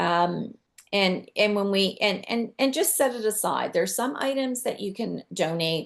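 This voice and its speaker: At a moderate pace, a woman with an unremarkable speaking voice uses lively intonation. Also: quiet background. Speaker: decluttering and downsizing expert. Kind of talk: webinar presentation.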